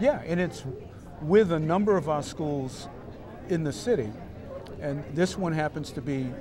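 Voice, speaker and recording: A man with an American accent talks at a fairly high pitch and moderate pace, with ordinary pitch variation and long, frequent pauses. Crowd noise and audible room echo fill the background. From Boston. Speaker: school superintendent. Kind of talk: interview. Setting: conference summit event.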